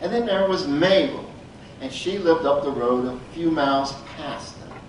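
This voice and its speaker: A man talks with lively intonation. Noticeable background noise and audible room echo are present. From Appalachia. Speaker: storyteller. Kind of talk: storytelling.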